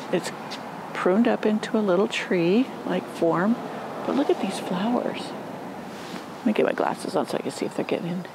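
Dry and without echo, the speech moves at a moderate pace amid noticeable background noise. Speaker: gardening vlogger. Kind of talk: casual vlog chat. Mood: delighted, admiring. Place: garden. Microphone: phone near.

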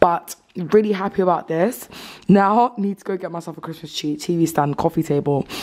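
A woman with a fairly low pitch talks at a fairly quick pace, with ordinary pitch variation and big swings in loudness. Noticeable background noise is present. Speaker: vlogger. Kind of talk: casual vlog talk to camera. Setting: at home.

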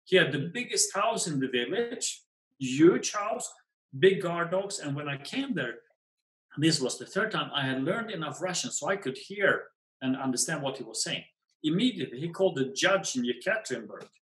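Over a quiet background with audible room echo, a man speaks at a moderate pace in a high pitch, his voice making very wide pitch swings. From Sweden. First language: Swedish. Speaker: pegmatite expert and field collector; guest. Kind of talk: storytelling interview. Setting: video call. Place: home room. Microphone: webcam.

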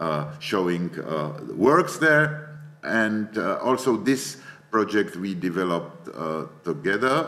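The speaker's pitch swings very widely at a fairly slow pace, with audible room echo. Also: man. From Czech Republic, Prague. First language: Czech. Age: 60s. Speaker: media artist and professor. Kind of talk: lecture.

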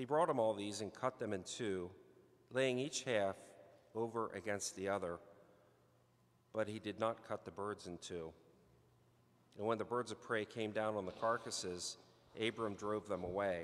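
With long, frequent pauses, a man talks at a moderate pace and a fairly low pitch, with ordinary pitch variation. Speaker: scripture reader at lectern. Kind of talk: scripture reading. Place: church. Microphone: podium.

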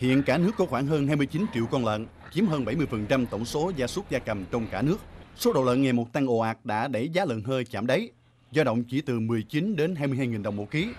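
The delivery moves at a fairly quick pace with lively intonation. It is a normal speaking voice. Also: man. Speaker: news narrator. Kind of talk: news reading. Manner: formal.

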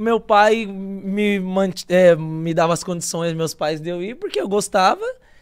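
Against a quiet background, a man with a high pitch speaks at a moderate pace with fairly even intonation. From São Paulo, Brazil (capital, Zona Norte). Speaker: footballer. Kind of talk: casual chat. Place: studio. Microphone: studio mic.

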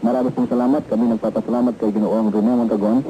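Light background noise sits behind a man who talks at a very fast pace. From Philippines. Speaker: radio announcer. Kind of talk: radio broadcast announcement / station ID. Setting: vintage AM radio recording, 1970s. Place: studio. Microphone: old recording.

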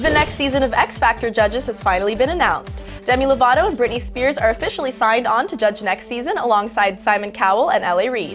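With clear music in the background, a woman talks at a very fast pace with hardly any pauses. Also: lively intonation. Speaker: radio and TV host. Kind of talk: entertainment news read. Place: studio.

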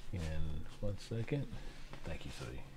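A somewhat breathy man at a fairly slow pace, with very wide pitch swings and audible room echo. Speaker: Bible teacher. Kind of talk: sermon.

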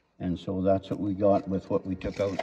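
Faint music plays in the background as a man speaks at a very deep, low pitch. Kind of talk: tutorial. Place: workshop. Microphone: phone near.

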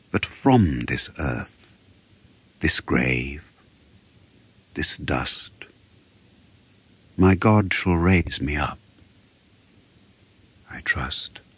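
A man with a very deep, low pitch speaks at a very slow pace with long, frequent pauses and lively intonation. Noticeable background noise is present. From England. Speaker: actor. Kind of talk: poetry reading.

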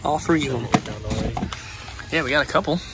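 Music plays in the background. A man speaks, the sound dry with no echo. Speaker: vlogger. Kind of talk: casual vlog chat. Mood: relaxed, friendly.

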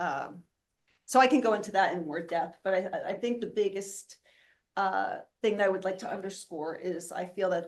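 Loud and at a moderate pace, a woman talks at a medium pitch with ordinary pitch variation. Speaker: board candidate, university educator. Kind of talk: job interview.

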